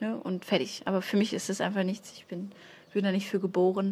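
The voice is somewhat breathy. It belongs to a woman speaking at a medium pitch. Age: 20s. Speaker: stand-up comedian. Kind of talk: casual chat.

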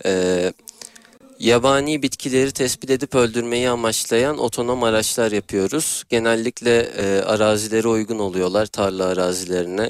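A man speaks at a moderate pace with a fairly low pitch and fairly even intonation, in a plain, everyday voice. The sound is dry and close, with no echo. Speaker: engineering student. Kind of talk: interview.

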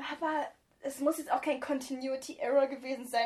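This woman speaks at a very fast pace. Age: 20s. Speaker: podcast co-host. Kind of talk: casual chat. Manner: animated.

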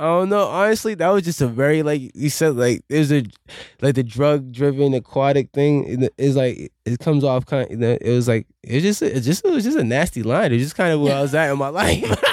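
A man with an American accent and an ordinary speaking voice talks at a fairly quick pace, his pitch fairly high, with ordinary pitch variation and very even loudness, in a very clean recording with a silent background. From Boston, Dorchester. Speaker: musician. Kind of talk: casual chat.

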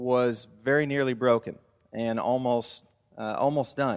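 The delivery moves at a fairly slow pace. Pitch shows ordinary variation. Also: man. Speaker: church leader. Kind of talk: panel interview. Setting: church.

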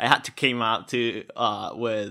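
A man speaks at medium pitch with a bright, sharp tone. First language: Spanish. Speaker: podcast host. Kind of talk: interview.

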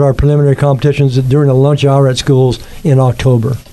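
Over noticeable background noise, a man with a fairly high pitch speaks at a fairly quick pace. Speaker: youth sports volunteer organizer. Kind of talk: interview.

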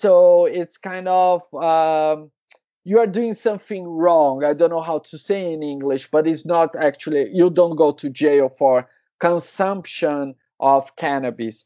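A man speaks in a Brazilian accent with a fairly high pitch. His pace is fairly slow and his pitch variation ordinary. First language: Portuguese. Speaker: cannabis entrepreneur. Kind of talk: casual interview. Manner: halting, hesitant.

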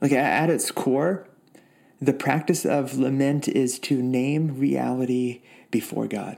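This man's intonation stays fairly even, and he talks very slowly. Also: medium pitch for a man. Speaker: pastor. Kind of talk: sermon and prayer. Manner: warm, reflective.

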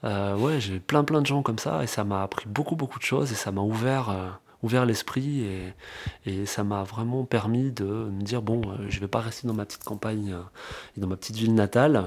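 Speaking at a moderate pace, a man with a fairly low pitch and ordinary pitch variation has a normal speaking voice. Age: 30s. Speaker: real estate investor. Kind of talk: interview. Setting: at the host's home.

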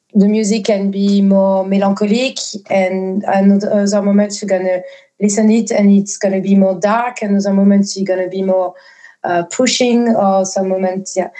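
A woman with a French accent speaks in a monotone, flat way at a fairly slow pace. Her voice is medium in pitch, dark and mellow. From southwest France. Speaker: ambient and experimental musician. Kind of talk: casual interview. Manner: hesitant, many fillers.

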